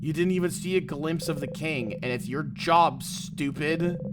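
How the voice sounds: At a fairly slow pace, a man with a fairly high pitch speaks with ordinary pitch variation over clear background noise.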